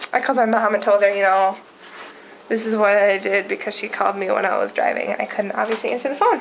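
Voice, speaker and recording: A woman is heard against noticeable background noise. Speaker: vlogger. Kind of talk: casual vlog. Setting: at home. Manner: fast.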